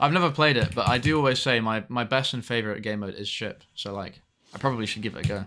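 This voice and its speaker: Over music in the background, a man with a British accent speaks at a very fast pace and a medium pitch. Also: ordinary pitch variation. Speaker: video game streamer. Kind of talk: live gameplay stream chat. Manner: halting, repeating words.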